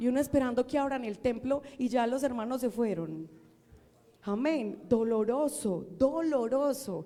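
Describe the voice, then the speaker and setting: A woman's voice sits high in pitch. Her delivery is fairly slow. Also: lively intonation. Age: old. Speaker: preacher. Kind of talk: sermon.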